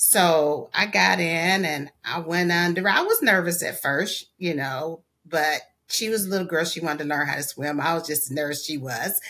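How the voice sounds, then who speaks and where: Bright and sharp in tone, a woman's fairly low voice moves at a moderate pace with ordinary pitch variation. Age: 50s. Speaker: asthma patient. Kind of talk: testimony. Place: home room. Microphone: webcam.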